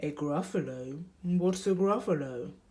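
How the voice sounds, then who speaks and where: Delivered fairly slowly, the put-on character voice holds a middle pitch. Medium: read story.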